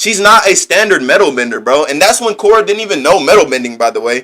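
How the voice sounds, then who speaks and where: Delivered very fast, the speech has a bright, sharp tone. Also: man. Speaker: livestreamer. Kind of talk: live stream chat reading comments. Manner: animated; stuttering a little.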